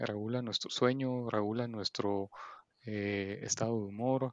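A man speaks at a very slow pace in a fairly low pitch, with fairly even intonation and a dry, close sound that has no echo. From Guatemala City. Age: 30s. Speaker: entrepreneur, digital marketer. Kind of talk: interview. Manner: hesitant, many fillers and repetitions.

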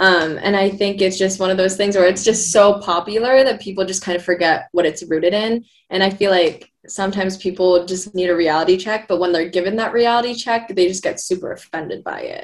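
Speaking in a normal speaking voice with an American accent, a woman keeps a fairly quick pace with hardly any pauses, medium pitch and fairly even intonation. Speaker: social media video editor. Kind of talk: casual chat.

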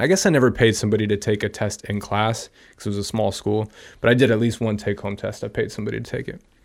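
This voice moves at a very fast pace in a Californian accent. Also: man. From US West Coast (San Francisco Bay Area). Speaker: health and wellness guest. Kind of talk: casual interview chat.

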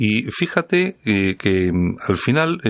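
This man talks at a medium pitch, with very wide swings up and down. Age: 50s. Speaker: radio host. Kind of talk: radio talk show interview. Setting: radio studio.

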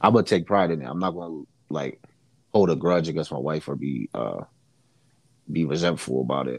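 A man with a very deep, low pitch and vocal fry talks at a fairly quick pace with ordinary pitch variation. Long, frequent pauses break up his speech. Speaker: co-host. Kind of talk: casual chat.

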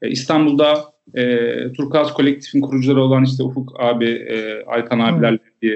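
A man with an unremarkable speaking voice, medium in pitch, at a moderate pace. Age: 20s. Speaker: street photographer and public health field worker. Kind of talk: casual interview chat.

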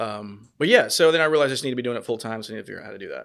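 This man has an American accent. His pitch varies in an ordinary way. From North Carolina, Raleigh area. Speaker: real estate agent. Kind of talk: casual interview. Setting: studio. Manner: halting, many fillers.

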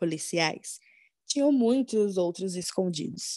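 Very slowly and with lively intonation, a woman speaks in a dark, mellow tone, with a dry, close sound with no echo and a quiet background. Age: 20s. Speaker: podcast co-host. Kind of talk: true crime narration.

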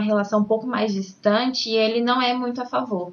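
A normal speaking voice from a woman, fairly high in pitch, at a moderate pace with fairly even intonation. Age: 20s. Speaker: ballroom dance teacher. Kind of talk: casual interview.

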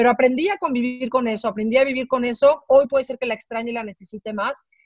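The voice has a dark, mellow tone and ordinary pitch variation, moving at a fairly quick pace with a dry, close sound and no echo. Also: woman. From Mexico. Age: 40s. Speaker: sports executive and former TV sportscaster. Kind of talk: interview. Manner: halting, frequent repetitions.

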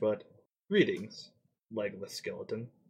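Someone puts on a character voice and talks at a fairly slow pace. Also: man. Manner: put-on strange speech.

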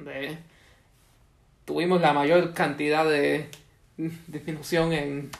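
A man with fairly even intonation and a fairly high pitch talks very slowly. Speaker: podcast co-host. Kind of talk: casual chat.

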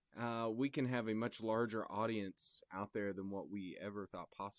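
In a dry, close recording with no echo, a man with an American accent uses a normal speaking voice at medium pitch, moderate pace and fairly even intonation. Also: quiet background. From Indianapolis, Indiana. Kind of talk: casual chat.

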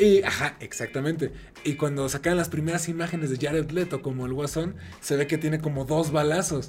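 Over noticeable background noise, a man with a Mexican accent talks fairly quickly in a fairly high voice with fairly even intonation. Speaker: podcast host. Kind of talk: casual chat.

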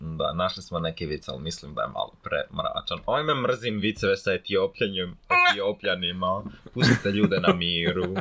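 A man speaks at a middling speed with distinct noise in the background. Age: 20s. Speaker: chemical engineering student, podcast guest. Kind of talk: casual chat.

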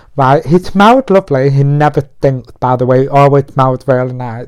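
In a British accent, a man talks at a moderate pace and a fairly high pitch. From UK. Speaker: podcast host. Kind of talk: casual monologue. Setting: in bed at home. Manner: put-on feminine voice.

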